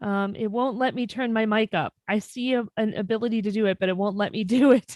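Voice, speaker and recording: At a fairly quick pace, a woman speaks in a fairly high pitch. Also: fairly even intonation, dry, close sound with no echo. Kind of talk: public meeting report. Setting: video call. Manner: loud.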